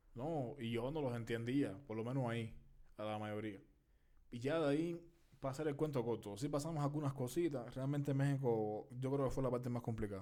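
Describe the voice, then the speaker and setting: Speaking with a Cuban accent, a man has a dark, mellow tone at medium pitch. He moves at a fairly quick pace with ordinary pitch variation. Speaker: podcast co-host. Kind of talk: casual chat.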